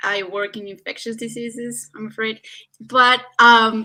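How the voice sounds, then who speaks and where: The woman's voice has a bright, sharp tone and moves at a fairly slow pace. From Chile. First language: Spanish. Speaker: physician and illustrator. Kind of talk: panel discussion.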